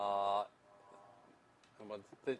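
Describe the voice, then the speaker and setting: The speaker is a man. His accent is Australian. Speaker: interventional cardiologist. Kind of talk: live case presentation.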